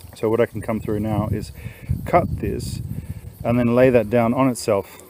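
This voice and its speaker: With noticeable background noise, a man speaks at a moderate pace in fairly even intonation, the sound dry with no echo. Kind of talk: casual walkthrough commentary. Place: garden. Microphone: phone near.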